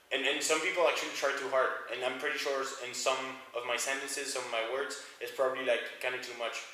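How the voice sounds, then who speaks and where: Speaking very fast in a monotone, flat intonation, a man with a slight French accent and medium pitch is heard over noticeable background noise and audible room echo. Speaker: medical student. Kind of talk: casual interview chat.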